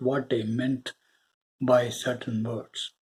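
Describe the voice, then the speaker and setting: A very slow, somewhat breathy voice with a Tamil accent. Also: man. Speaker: spiritual video creator. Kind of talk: spiritual talk to viewers. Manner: hesitant, with fillers.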